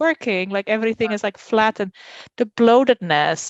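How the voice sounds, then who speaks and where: In a Dutch accent, a woman talks at a moderate pace with ordinary pitch variation. The sound is dry and close with no echo, and the background is quiet. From Netherlands. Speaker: podcast guest, mother. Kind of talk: casual chat. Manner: halting.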